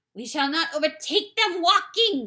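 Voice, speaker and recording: Putting on a character voice, a woman growls in a gruff, extremely high pitch, her voice raised and projected at a moderate pace. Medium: read story. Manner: gruff, growling.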